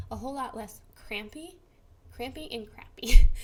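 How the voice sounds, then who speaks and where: High pitch in a female voice. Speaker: vlogger with Crohn's disease. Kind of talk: casual vlog tips. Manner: fast; casual, filler-heavy.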